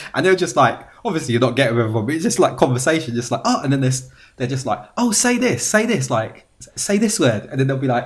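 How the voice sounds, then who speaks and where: Speaking with a British accent at a very fast pace, a man with a medium pitch sounds animated and somewhat breathy, his intonation lively. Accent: British accent, noticed abroad. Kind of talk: casual chat.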